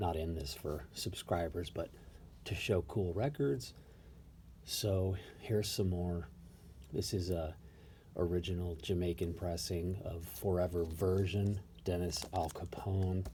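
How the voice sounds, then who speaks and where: A quiet man with a very deep, low pitch and a dark, mellow tone sounds somewhat breathy. He talks at a fairly slow pace with ordinary pitch variation and long, frequent pauses. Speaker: record collector vlogger. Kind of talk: casual show-and-tell monologue. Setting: at home, early morning. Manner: quiet, kept low.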